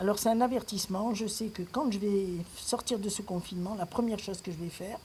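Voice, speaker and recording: Her voice is somewhat breathy, with a dark, mellow tone at a medium pitch. The woman talks at a fairly quick pace. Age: 60s. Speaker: retiree. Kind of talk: personal video rant. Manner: animated.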